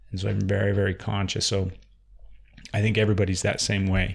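A man talks at a fairly quick pace with a fairly low pitch. His voice is somewhat breathy. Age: 30s. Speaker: podcast host. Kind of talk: casual interview conversation. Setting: in guest's office. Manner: animated, laughs often.

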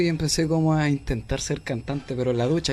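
A man speaks with a Chilean accent at a moderate pace. The background is quiet. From Chile, Santiago (Renca). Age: 20s. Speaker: rapper. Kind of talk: interview. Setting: studio.

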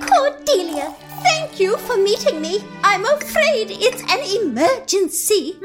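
A woman speaks in a put-on character voice with an extremely high pitch, at a fairly slow pace. Loud music plays in the background. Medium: audio drama. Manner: genteel, fluttery.

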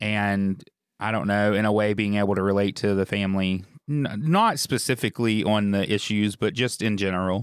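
An unremarkable speaking voice with fairly even intonation goes at a moderate pace on a very clean recording with a silent background. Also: man, fairly low pitch for a man. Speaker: podcast host. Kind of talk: casual chat.

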